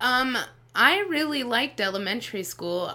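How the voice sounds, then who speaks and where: Over noticeable background noise, a woman with an American accent talks with lively intonation. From Las Vegas, Nevada, US. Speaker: stand-up comedian. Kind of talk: casual chat.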